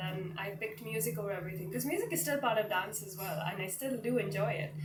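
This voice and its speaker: Amid noticeable background noise and audible room echo, a woman with a fairly low pitch talks at a very fast pace. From India, Mumbai. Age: 20s. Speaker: singer-songwriter. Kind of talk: interview.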